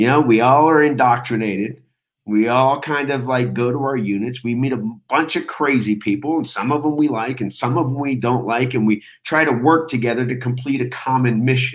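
In a very clean recording with a silent background, a man with a normal speaking voice talks at a fairly quick pace, his medium pitch held in fairly even intonation. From United States, moved around (Texas, Florida, California). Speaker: military veteran, former Army Ranger and Air Force pararescue. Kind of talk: casual interview chat.

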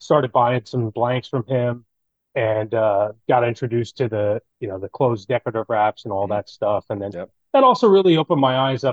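This man talks at a fairly quick pace with an American accent and a medium pitch. He has a normal speaking voice and ordinary pitch variation. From New Jersey. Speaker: custom fishing rod builder. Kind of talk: casual interview chat.

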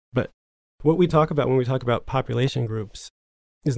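Talking at a very fast pace, a man with an American accent has a medium pitch, vocal fry and ordinary pitch variation. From US, New Jersey suburbs. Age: 30s. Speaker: writer and memoirist. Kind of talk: interview conversation.

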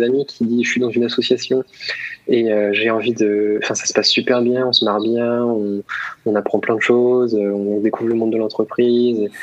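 A man talks at a fairly quick pace with medium pitch. His intonation stays flat and monotone over noticeable background noise. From Paris region, Essonne. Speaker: former student entrepreneur. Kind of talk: casual interview. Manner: hesitant, many repetitions.

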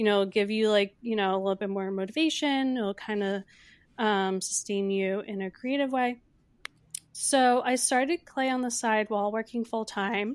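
On a very clean recording with a silent background, a woman speaks in a normal speaking voice. It is fairly high, with ordinary pitch variation and a moderate pace. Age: 20s. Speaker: founder of a self-care brand. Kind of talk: interview.

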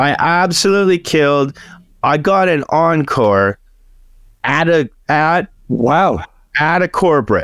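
Speaking very slowly with long, frequent pauses, a man uses lively intonation at a fairly high pitch, captured on a very clean recording with a silent background. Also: very even loudness. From Canada. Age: 40s. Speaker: stand-up comedian. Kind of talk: casual chat.

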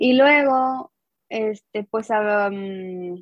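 A woman is speaking. Her pitch sits fairly high. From northern Mexico, Coahuila. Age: 20s. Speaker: designer and teacher, fan artist. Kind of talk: casual interview chat.

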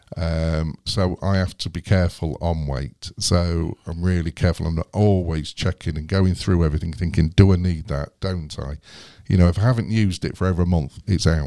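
With an English accent and a dark, mellow tone, a man speaks at a moderate pace in a very deep, low pitch with fairly even intonation, the sound dry and close with no echo and the recording very clean against a silent background. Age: 40s. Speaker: YouTuber and off-grid overlander. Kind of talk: casual interview. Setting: studio. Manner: halting, many fillers.

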